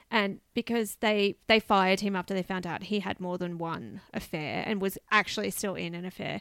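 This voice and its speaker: On a very clean recording with a silent background, a woman with an Australian accent speaks at medium pitch and a moderate pace with ordinary pitch variation. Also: dry, close sound with no echo. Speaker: podcast co-host. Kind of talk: casual chat.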